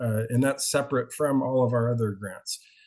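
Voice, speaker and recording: At a moderate pace, a man talks in an unremarkable speaking voice with fairly even intonation. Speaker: community fire safety volunteer leader. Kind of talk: meeting update.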